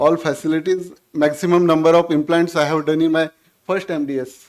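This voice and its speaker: At a moderate pace, a man speaks at a high pitch with monotone, flat intonation. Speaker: dental surgeon and former lecturer. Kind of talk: speech. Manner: spontaneous, halting.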